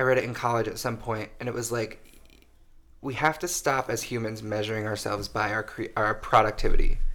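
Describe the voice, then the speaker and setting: Loud and bright with a sharp tone, a man of medium pitch speaks at a fairly quick pace with fairly even intonation. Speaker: podcast co-host. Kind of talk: casual chat.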